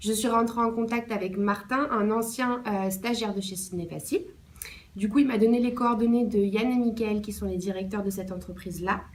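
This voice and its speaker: Moderately paced female speech, fairly high in pitch, with room echo clearly heard. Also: fairly even intonation. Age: 20s. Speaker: intern. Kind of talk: interview answers.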